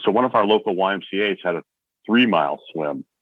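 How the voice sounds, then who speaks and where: His pace is moderate. The man has an American accent. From northeastern Pennsylvania. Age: 60s. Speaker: marathon swimmer. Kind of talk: interview. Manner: casual, halting with fillers.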